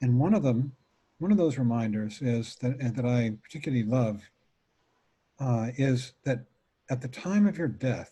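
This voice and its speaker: Here a man speaks at a fairly slow pace in a medium pitch with ordinary variation. His tone is dark and mellow, and somewhat breathy. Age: 70s. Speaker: meditation teacher. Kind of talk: dharma talk. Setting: video call.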